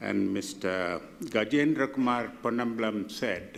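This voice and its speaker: Here is a man with a medium pitch. His pitch variation is ordinary. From Malaysia, Kuala Lumpur. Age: 70s. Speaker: audience member asking a question. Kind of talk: public Q&A question. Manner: halting, many fillers.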